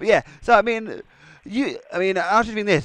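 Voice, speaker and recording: A man speaks with an English accent at a fairly quick pace. The background is quiet. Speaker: wrestling podcast host. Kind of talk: casual interview. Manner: halting, repeats words.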